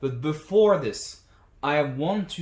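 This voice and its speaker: Speaking with a French accent, a man uses lively intonation at a fairly slow pace, his voice somewhat breathy, with audible room echo. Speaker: language teacher. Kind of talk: tutorial.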